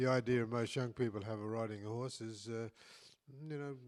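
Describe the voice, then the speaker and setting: Someone with an Australian accent talks at a moderate pace with fairly even intonation. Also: man. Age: 80s+. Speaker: saddle maker and podcast co-host. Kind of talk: casual chat. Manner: halting, with many repeated words.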